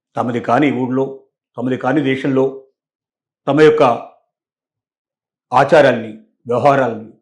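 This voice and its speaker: This man's voice sits at a fairly high pitch. It is an unremarkable speaking voice. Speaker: news analyst. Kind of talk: commentary talk to camera.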